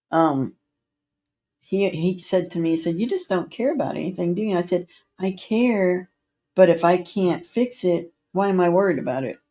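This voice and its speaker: A woman's plain, everyday voice, medium in pitch with ordinary pitch variation, at a moderate pace on a very clean recording with a silent background. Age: 60s. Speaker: livestreamer. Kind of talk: casual chat.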